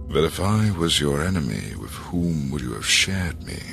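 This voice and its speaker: A man's put-on character voice, very deep and low, at a fairly slow pace, with clear music in the background. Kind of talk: ornate, biblical oratory. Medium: solo performance. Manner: measured, eloquent, menacing.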